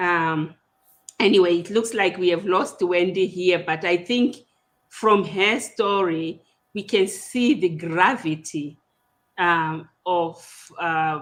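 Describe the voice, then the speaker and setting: Speaking very slowly with a Zimbabwean accent, a woman has a fairly low pitch, ordinary pitch variation, and long, frequent pauses. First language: Shona. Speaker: podcast host. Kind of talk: casual interview discussion. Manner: hesitant, with repetitions.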